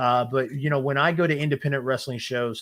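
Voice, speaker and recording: A loud man with a bright, sharp tone and fairly even intonation is heard on a very clean recording with a silent background. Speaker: wrestling podcast co-host. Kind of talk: casual chat. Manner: hesitant, many fillers.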